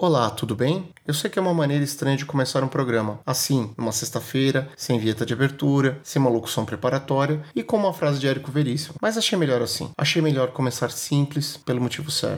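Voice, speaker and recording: The speaker talks at a fairly quick pace with hardly any pauses. Pitch varies in an ordinary way, in a Brazilian accent. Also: man, fairly high pitch for a man. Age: 30s. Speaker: podcast host. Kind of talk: podcast monologue.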